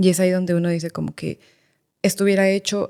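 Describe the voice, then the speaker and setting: Very fast speech with a Mexican accent, a dark, mellow tone and monotone, flat intonation in a dry, close sound with no echo. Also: woman. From Mexico, Querétaro. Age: 30s. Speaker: lawyer and education advisor, migrant. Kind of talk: podcast interview.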